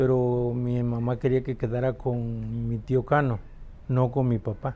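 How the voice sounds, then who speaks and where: Dark, mellow tone with monotone, flat intonation at a fairly slow pace. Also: man, medium pitch for a man. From Mexico, Reforma, Chiapas. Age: 60s. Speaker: interviewee, older brother of the interviewer. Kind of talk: family interview, personal reminiscence. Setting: at home in Reforma, Chiapas. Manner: halting, with repetitions and fillers.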